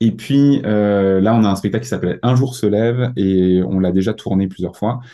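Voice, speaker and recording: A man speaks with a very deep, low pitch and a dark, mellow tone. His intonation is fairly even, and the background is quiet. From Alsace, Mulhouse. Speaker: youth worker and musician. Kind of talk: interview. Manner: hesitant, many fillers.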